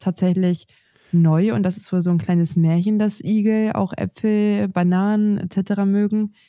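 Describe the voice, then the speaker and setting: Her medium-pitched voice has a dark, mellow tone and monotone, flat intonation, moving at a fairly slow pace. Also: very even loudness, very clean recording, silent background. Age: 20s. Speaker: gardening podcast co-host. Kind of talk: casual chat.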